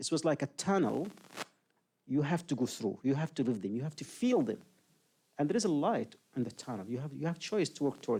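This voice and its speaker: The voice has a dark, mellow tone with vocal fry. It moves at a fairly quick pace with very wide pitch swings. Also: man. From Yemen. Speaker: human rights advocate and former prisoner. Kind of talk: public talk Q&A.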